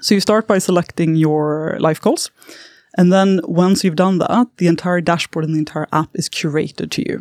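A woman with a Swedish accent, fairly low in pitch, with lively intonation and a dry, close sound with no echo on a very clean recording against a silent background. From southern Sweden. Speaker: startup founder. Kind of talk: interview. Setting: studio.

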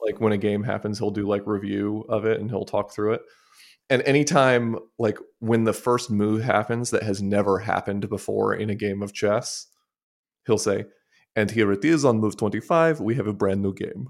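Using an unremarkable speaking voice, a man talks at a moderate pace and fairly low pitch with ordinary pitch variation. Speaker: agency co-owner and podcast host. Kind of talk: casual chat. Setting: video call.

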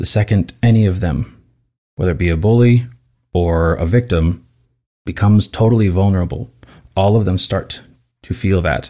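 A very deep, low-pitched man's voice with a dark, mellow tone and long, frequent pauses, in a very clean recording with a silent background. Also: ordinary pitch variation, moderate pace. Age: 30s. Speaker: voice teacher and opera singer. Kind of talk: casual chat. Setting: studio.

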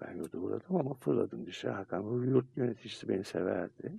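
This man's voice carries vocal fry. He lets his pitch swing very widely. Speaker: radio host and psychiatrist. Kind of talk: casual chat.

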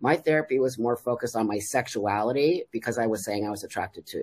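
The recording is very clean with a silent background, and the speaker talks at a very fast pace in an American accent. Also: man. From Los Angeles, California (San Fernando Valley). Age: 60s. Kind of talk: casual podcast interview.

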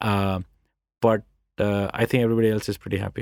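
A man speaks with an Indian accent. His pace is very fast. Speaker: tech company founder and CEO. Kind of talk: interview. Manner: reflective.

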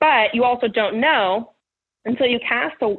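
An American accent from a woman, her pitch varying in an ordinary way. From California, Bay Area. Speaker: recruiter and project manager. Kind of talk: interview.

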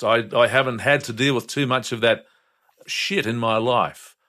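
In an Australian accent, a man talks at a fairly slow pace, his medium-pitched voice bright and sharp in tone, with ordinary pitch variation. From Brisbane, Australia. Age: 70s. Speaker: retired breakfast radio host. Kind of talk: casual chat.

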